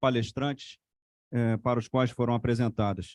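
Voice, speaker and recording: A man speaks in a monotone, with flat intonation. The recording is very clean and dry, with a close sound, no echo and a silent background. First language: Portuguese. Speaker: event moderator. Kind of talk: formal moderation.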